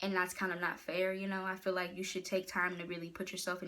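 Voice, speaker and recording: Talking at a very fast pace, a woman uses a bright, sharp tone at a fairly low pitch, with vocal fry. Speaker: motivational speaker and poet. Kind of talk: casual vlog advice talk.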